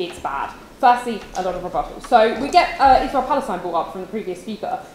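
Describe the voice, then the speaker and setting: A woman's fairly high voice at a very fast pace, with very wide pitch swings over noticeable background noise. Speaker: university debater. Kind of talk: competitive debate speech.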